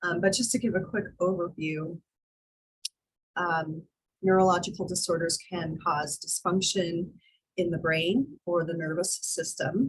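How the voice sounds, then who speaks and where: With long, frequent pauses, a woman speaks in a somewhat breathy, fairly low voice with fairly even intonation. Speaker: college instructor. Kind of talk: online class lecture.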